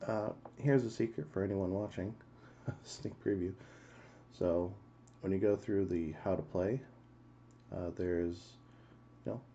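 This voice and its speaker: A soft-spoken man with a very deep, low pitch and a dark, mellow tone, at a moderate pace with ordinary pitch variation and long, frequent pauses. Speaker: game streamer. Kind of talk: live game stream commentary.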